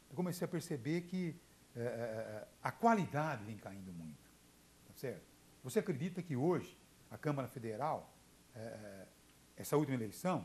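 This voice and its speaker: A medium-pitched man speaks at a moderate pace with vocal fry and long, frequent pauses. His pitch swings very widely and his loudness swings a lot. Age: 60s. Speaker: journalist and radio broadcaster. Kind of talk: TV interview. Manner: halting, many fillers and repetitions.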